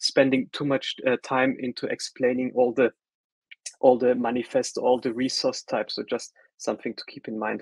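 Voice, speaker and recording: Moderate pace and ordinary pitch variation in a German accent, with a dry, close sound and no echo. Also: man. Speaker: solutions architect presenting a tech workshop. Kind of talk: webinar tutorial. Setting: online webinar call. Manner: casual with frequent fillers and repetitions.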